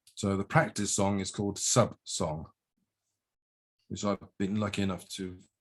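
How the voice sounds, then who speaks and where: A man with an English accent speaks in a very deep, low voice. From England. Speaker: haiku poet. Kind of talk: presentation.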